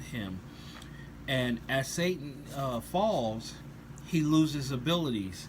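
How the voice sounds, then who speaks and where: A man's somewhat breathy, fairly high voice shows ordinary pitch variation against audible room echo. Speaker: religious commentator on rock songs. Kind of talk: scripture-based song review. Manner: hesitant, many fillers.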